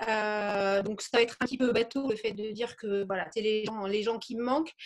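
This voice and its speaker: A woman's ordinary speaking voice, fairly high in pitch, with ordinary pitch variation and a moderate pace, on a very clean recording with a silent background. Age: 40s. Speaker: real estate agent. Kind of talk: interview.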